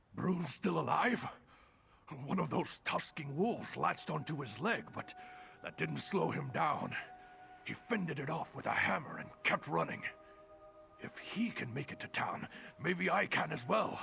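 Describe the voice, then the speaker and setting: The put-on character voice is raspy and moves at a moderate pace. Long, frequent pauses break up the speech. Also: man, fairly high pitch for a man. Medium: video game. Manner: shaken, anxious.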